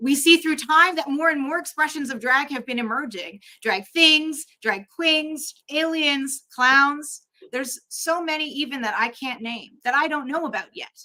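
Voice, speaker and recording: A woman speaks fairly slowly in a raised, projected voice with a bright, sharp tone. Her pitch is high, with ordinary variation. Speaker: drag artist and chaplain. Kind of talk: conference talk.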